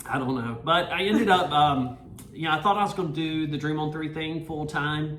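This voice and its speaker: A man with a Southern US accent speaks at a moderate pace and fairly high pitch with ordinary pitch variation, amid noticeable background noise and audible room echo. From North Carolina (Greensboro). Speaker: nonprofit founder. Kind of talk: podcast interview.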